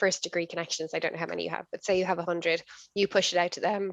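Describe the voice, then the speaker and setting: Very fast and monotone, flat delivery with a dry, close sound and no echo. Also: woman. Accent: Irish. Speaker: business executive, workshop speaker. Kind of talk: online workshop talk. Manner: intense.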